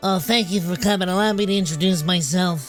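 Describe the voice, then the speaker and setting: Nasal put-on character voice at a middle pitch, fairly quick, with clear music in the background. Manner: nerdy, formal.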